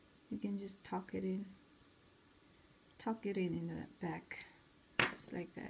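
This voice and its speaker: Somewhat breathy and dark and mellow in tone, a woman speaks at a very slow pace. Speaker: craft tutorial maker. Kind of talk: casual craft tutorial talk.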